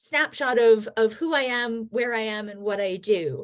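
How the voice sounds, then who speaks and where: With an American accent, a woman talks at a fairly high pitch and lively intonation in a normal speaking voice. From United States. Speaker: history professor. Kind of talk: video call presentation.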